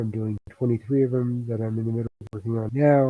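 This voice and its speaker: Soft-spoken and monotone, a man speaks at a fairly quick pace in a medium pitch with flat intonation. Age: 60s. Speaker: writer and live streamer. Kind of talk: casual live stream talk. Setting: home desk, live streaming.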